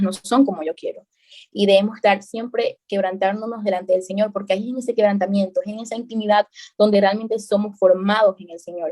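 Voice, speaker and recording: A woman's medium-pitched, dark and mellow voice, fairly quick and flat in a monotone, with a dry, close sound and no echo. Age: young. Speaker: preacher. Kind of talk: sermon. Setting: video call. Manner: fast.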